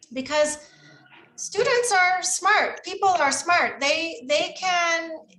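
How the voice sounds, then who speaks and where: A woman with an American accent projects her voice at an extremely high pitch, with lively intonation and very even loudness. She speaks very slowly amid audible room echo. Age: 50s. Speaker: teacher trainer, former volunteer teacher. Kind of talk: Q&A with teachers.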